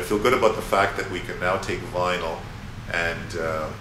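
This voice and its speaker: Here a man speaks with a very deep, low pitch. Noticeable background noise and audible room echo accompany him. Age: 60s. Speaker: musician and former academic. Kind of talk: interview. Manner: halting, many fillers and repeats.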